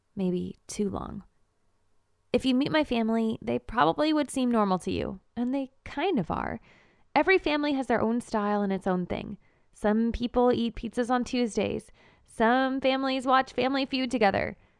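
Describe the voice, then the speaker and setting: Recorded very cleanly against a silent background, a woman with a fairly high pitch and a plain, everyday voice talks at a moderate pace with lively intonation, the sound dry and close with no echo. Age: 20s. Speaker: storyteller. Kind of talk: first-person story narration.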